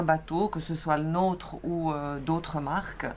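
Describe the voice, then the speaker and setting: A woman's very slow speech in a strong Swiss accent, fairly low in pitch, with fairly even intonation. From Switzerland. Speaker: sailing vlogger. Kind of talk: casual chat.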